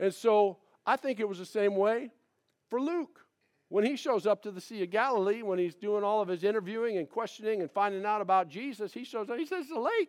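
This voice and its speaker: A man speaks at a fairly quick pace in a high voice, with ordinary pitch variation, an animated tone and a quiet background. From Minnesota, US Midwest. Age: old. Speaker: pastor. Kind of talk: sermon. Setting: church.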